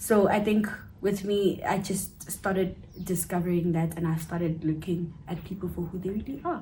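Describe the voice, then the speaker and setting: In a room with audible echo, a woman speaks at medium pitch and a moderate pace, her intonation fairly even. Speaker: cousin of the channel host, guest. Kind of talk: casual chat.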